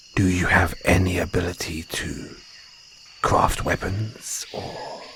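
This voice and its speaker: A man's put-on character voice, very deep and low, at a fairly slow pace with flat, monotone intonation over clear background noise. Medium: audio drama. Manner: affectionate, calls listener darling; refined, slightly condescending toward humans.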